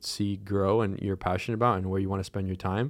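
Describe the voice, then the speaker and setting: On a very clean recording with a silent background, a man with an American accent speaks fairly quickly in a fairly low, monotone, flat voice. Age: 20s. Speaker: young entrepreneur and podcast co-host. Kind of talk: casual interview.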